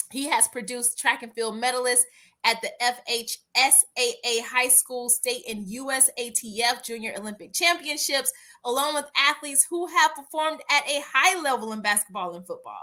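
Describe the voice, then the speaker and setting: With an American accent, a woman speaks in an energetic, bright, sharp tone at a high pitch, moderate in pace with ordinary pitch variation and big swings in loudness. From US South. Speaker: podcast host and attorney. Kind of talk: podcast interview.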